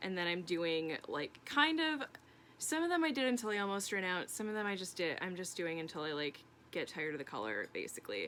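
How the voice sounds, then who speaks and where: Her tone bright and sharp, a woman speaks at a fairly quick pace in a medium pitch. She makes very wide pitch swings. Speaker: crafts vlogger. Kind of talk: casual vlog update. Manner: fast; casual, many fillers.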